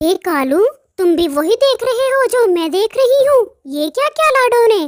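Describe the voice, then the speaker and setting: A cartoonish character voice from a woman, extremely high-pitched, at a moderate pace. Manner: sharp, mocking.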